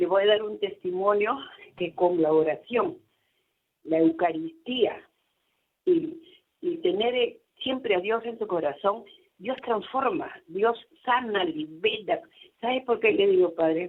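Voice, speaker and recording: Very slowly and with long, frequent pauses, a woman speaks in a fairly high voice with very wide pitch swings. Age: 70s. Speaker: caller. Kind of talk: testimony. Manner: animated.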